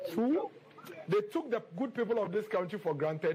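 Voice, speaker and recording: Noticeable background noise sits behind the voice. The pace is fairly quick. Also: man. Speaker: party spokesperson. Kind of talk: press conference.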